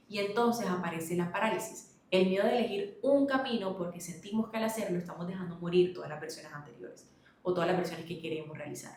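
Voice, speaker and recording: Over noticeable background noise, a woman speaks at a very fast pace with hardly any pauses, a medium pitch, ordinary pitch variation and big swings in loudness. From Colombia, Barranquilla (Caribbean coast). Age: 20s. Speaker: lifestyle vlogger. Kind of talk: personal reflection vlog. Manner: conversational, friendly.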